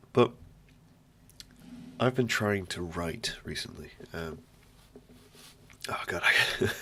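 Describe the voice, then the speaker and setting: With a British accent, a man with a fairly low pitch and a bright, sharp tone speaks with ordinary pitch variation. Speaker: podcast host. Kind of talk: casual solo monologue. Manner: rambling, halting.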